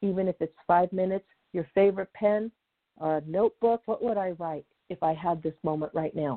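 Speaking at a moderate pace, a woman with a normal speaking voice keeps a medium pitch and fairly even intonation. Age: 50s. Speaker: career coach and company founder. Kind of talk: interview.

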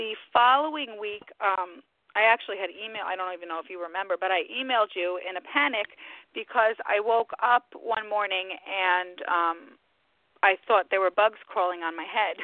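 A woman talks at a moderate pace in a normal speaking voice, with a medium pitch and ordinary pitch variation. Her loudness swings widely. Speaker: psychic medium. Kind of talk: interview and live readings for callers. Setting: phone call.

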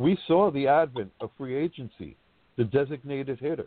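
Speaking with a New York accent, a man has a fairly high pitch. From Brooklyn, New York. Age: 50s. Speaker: sports blogger. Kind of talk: roundtable discussion. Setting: live online podcast.

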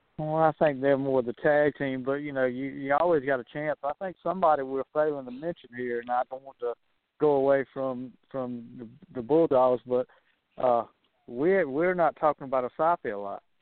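At a moderate pace, a normal speaking voice with an American accent keeps a fairly even intonation while swinging widely in loudness. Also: man, fairly high pitch for a man. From US South. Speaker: wrestling analyst. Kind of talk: casual chat.

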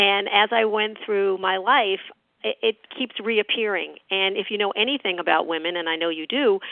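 This woman has an American accent and a medium pitch. Her pace is moderate, with ordinary pitch variation. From New York. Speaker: author and leadership speaker. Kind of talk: interview. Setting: radio show.

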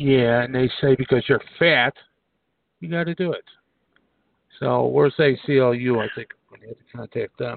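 A man with a medium-pitched voice speaks at a moderate pace, his intonation fairly even, his loudness swinging widely, and his long pauses coming often. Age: 60s. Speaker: radio host and psychic medium. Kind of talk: casual chat.

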